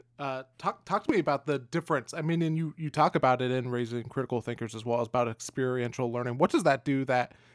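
In a very clean recording with a silent background and a dry, close sound with no echo, a man with a normal speaking voice and a medium pitch talks at a moderate pace with ordinary pitch variation. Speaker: podcast host. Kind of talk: interview conversation.

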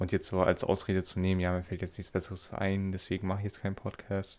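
Here a man speaks at a fairly quick pace. His pitch is very deep and low. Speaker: podcaster. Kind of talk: solo monologue. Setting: Discord voice chat, recording standing. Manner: halting. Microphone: good microphone.

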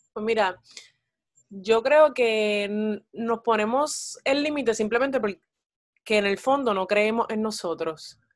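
Her pitch sits fairly high, with ordinary variation. This woman talks at a very slow pace. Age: 20s. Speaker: actress and psychology student. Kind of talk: casual interview chat. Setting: call.

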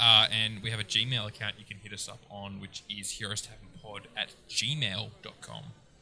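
A fairly low male voice at a fairly slow pace, fairly even in intonation but with big swings in loudness, over noticeable background noise. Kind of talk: casual banter. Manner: joking, irreverent.

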